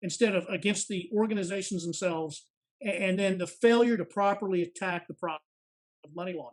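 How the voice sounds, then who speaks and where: A man with an American accent talks at a fairly quick pace. His pitch is high, with ordinary variation. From Texas, suburban Dallas. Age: 50s. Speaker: retired FBI agent. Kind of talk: interview.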